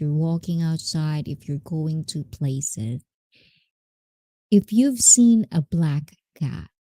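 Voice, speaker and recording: On a very clean recording with a silent background and a dry, close sound with no echo, a woman with a very deep, low pitch and a dark, mellow, somewhat breathy tone speaks at a fairly slow pace with lively intonation. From Japanese and Filipino mixed heritage. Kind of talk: casual live stream storytelling.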